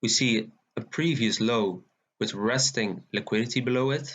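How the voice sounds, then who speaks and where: A man speaks with a Dutch accent and ordinary pitch variation. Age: 20s. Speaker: forex trader. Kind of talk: tutorial.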